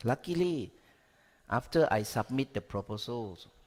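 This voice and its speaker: The speaker has a Thai accent and very wide pitch swings, at a fairly slow pace. It is a very clean recording with a silent background. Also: man. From Thailand. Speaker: education researcher. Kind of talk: conference talk.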